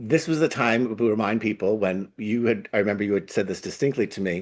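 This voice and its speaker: Against a quiet background, a man with an American accent speaks fairly quickly in a fairly low voice with ordinary pitch variation. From Long Island, New York. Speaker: older adult activist and social worker. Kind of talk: interview conversation.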